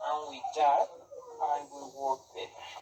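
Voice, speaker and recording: This is a man speaking. His pitch is fairly high. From Peru. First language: Spanish. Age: 20s. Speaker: interviewee, language learner. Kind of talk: interview. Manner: halting.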